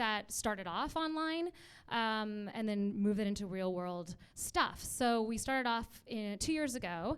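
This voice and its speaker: This woman has a normal speaking voice, pitched fairly high. She talks at a moderate pace with lively intonation. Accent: Canadian. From Vancouver, Canada. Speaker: actor and producer, online community founder. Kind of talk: panel discussion.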